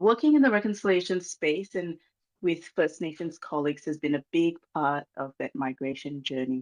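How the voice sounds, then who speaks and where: Someone with a Malaysian accent speaks at a moderate pace. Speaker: reconciliation organisation manager. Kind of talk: formal speech. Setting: video call. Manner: hesitant with many fillers.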